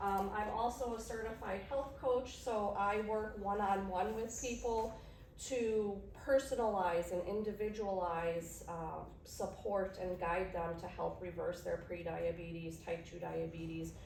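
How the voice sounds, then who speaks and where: With a strong Chicago accent, a woman speaks at a fairly slow pace, her medium pitch showing ordinary variation. Audible room echo and noticeable background noise come through. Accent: heavy Chicago. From Chicago, Illinois. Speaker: nurse practitioner and diabetes educator. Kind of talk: educational workshop presentation.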